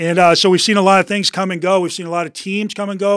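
A man's voice, dry and close with no echo, in a very clean recording over a silent background. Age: 50s. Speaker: real estate team founder and CEO. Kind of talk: casual interview. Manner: animated.

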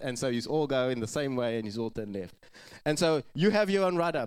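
A man talks with lively intonation. His pitch sits fairly high. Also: very clean recording, silent background. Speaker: pastor. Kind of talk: sermon. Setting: church. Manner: fast.

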